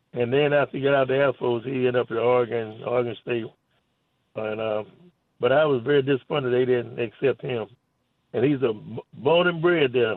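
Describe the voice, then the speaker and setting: The speech moves at a fairly quick pace with fairly even intonation, broken by long, frequent pauses. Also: man, medium pitch for a man. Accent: Southern US. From US South. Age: 80s+. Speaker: caller. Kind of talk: call-in chat. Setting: phone call. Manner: halting.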